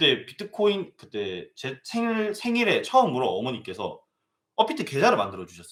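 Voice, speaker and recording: With a bright, sharp tone, a man talks at a moderate pace, his pitch swinging very widely. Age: 20s. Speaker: crypto mining business manager and lecturer. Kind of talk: live online lecture. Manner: speeds up when excited; halting, stumbles over words.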